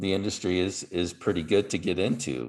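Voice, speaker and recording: A man with an American accent has a very deep, low pitch. He speaks at a fairly slow pace on a very clean recording with a silent background. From US South, Dalton Georgia. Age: 50s. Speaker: podcast host. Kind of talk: interview.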